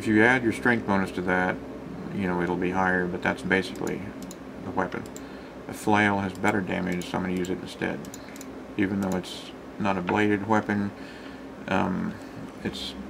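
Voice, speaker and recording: A man's very deep, low voice with fairly even intonation and long, frequent pauses, over noticeable background noise. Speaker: gamer. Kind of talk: game walkthrough commentary. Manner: casual, rambling. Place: home room. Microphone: webcam.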